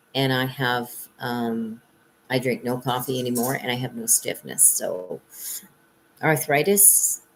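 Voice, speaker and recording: A woman with a very deep, low pitch speaks with long, frequent pauses over noticeable background noise. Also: ordinary pitch variation, fairly slow pace. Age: 60s. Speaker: psychic reader. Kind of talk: live stream monologue. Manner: casual, with many fillers.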